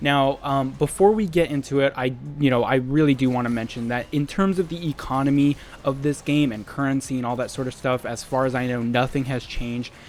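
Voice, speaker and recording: Music plays behind a man who talks at a fairly quick pace, his medium pitch moving with ordinary variation. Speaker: gaming youtuber. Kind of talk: gameplay commentary. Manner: loud; animated.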